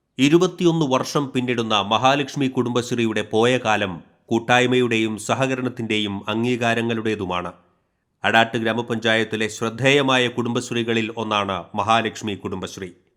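The recording is very clean, with a silent background. A man with an unremarkable speaking voice talks at a medium pitch with ordinary pitch variation. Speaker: news reporter. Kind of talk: news voice-over narration. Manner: formal.

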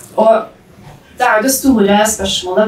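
Audible room echo surrounds the voice. A woman speaks with fairly even intonation. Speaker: presenter. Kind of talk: presentation talk. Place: stage.

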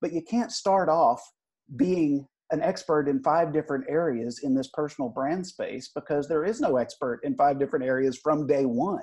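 A man speaks at a moderate pace in a fairly high voice. The background is quiet. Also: lively intonation. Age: 30s. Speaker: CEO of a personal branding agency; podcast guest. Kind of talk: interview; interview answer. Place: office. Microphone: earbuds.

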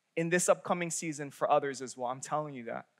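The tone is bright and sharp as a man speaks. The background is quiet. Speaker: young adult pastor. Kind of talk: sermon. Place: church. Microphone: headset.

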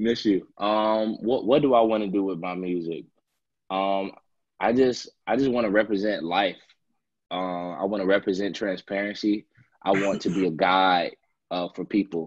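A man speaks in an ordinary speaking voice at a fairly low pitch. His intonation is fairly even. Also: moderate pace. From Chicago. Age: 20s. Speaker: singer-songwriter. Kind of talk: interview answer.

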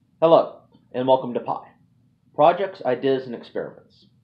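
The speaker is a man. Pitch moves up and down in an ordinary way. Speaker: channel host. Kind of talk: casual vlog chat. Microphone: phone near.

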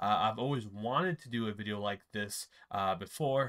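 A man talks at a fairly slow pace with a bright, sharp tone and ordinary pitch variation. Behind him the background is quiet. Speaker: YouTuber. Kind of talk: casual talk to camera. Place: home room.

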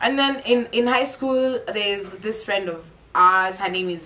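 Over light background noise, a woman speaks at a moderate pace with very wide pitch swings. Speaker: group vlogger. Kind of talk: casual vlog chat. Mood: animated, laughing storytelling. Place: home room. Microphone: camera far.

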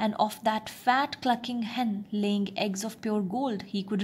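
The plain reading aloud keeps a fairly even intonation.

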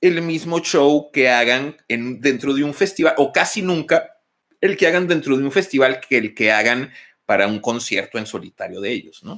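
A man's fairly high, bright, sharp voice at a moderate pace, with lively intonation, an animated tone, and a quiet background. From Mexico, Torreón; Coahuila, Mexico. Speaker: live stream host. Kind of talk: casual live stream chat. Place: home room. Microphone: studio mic.

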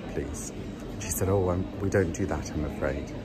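Music sounds in the background while a man talks. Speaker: entertainer vlogger. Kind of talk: casual vlog rant. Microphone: phone near.

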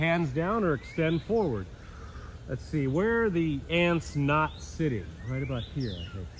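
Over light background noise, a man speaks at a fairly slow pace, somewhat breathy, his pitch swinging very widely. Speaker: yoga instructor. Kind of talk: tutorial. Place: waterside.

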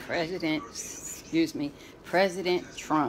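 A woman's fairly low voice at a fairly slow pace, against noticeable background noise. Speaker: granddaughter interviewing her grandmother. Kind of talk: casual talk to camera. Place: home room. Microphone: phone near.

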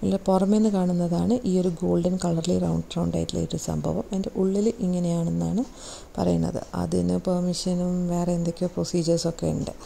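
A woman with a fairly low pitch and vocal fry talks at a fairly quick pace in a dark, mellow tone, with little pitch movement and few pauses.

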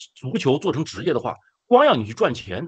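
Vocal fry marks this man's speech, which swings very widely in pitch. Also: quiet background. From China. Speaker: activist; guest. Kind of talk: casual chat. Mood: earnest, some emotion. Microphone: video call.

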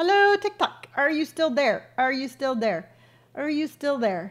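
A woman with an animated tone at a fairly slow pace against a quiet background. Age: 50s. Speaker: lifestyle content creator; livestream host. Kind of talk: live stream Q&A. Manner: halting. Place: home room. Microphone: studio mic.

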